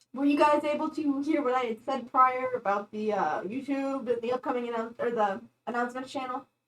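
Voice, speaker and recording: Quiet and high-pitched, a woman talks at a fairly quick pace. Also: ordinary pitch variation. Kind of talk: casual chat. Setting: livestream from a small home room. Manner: quieter, voice carries less.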